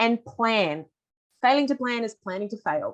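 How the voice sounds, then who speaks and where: Here a woman talks at a fairly quick pace. Her pitch varies in an ordinary way. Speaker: veterinarian and dog behaviour presenter. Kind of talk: webinar presentation. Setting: online webinar. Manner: fast.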